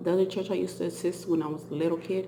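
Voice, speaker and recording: There is noticeable background noise behind a woman's voice. She speaks at a fairly low pitch with monotone, flat intonation. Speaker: vlogger. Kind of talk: casual chat. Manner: halting.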